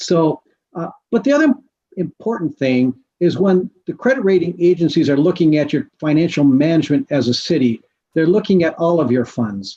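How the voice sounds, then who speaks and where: A man speaks at a high pitch with very wide pitch swings and a dark, mellow tone. The sound is dry and close, with no echo. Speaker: municipal finance consultant. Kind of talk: presentation to city council. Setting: teleconference. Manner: fast.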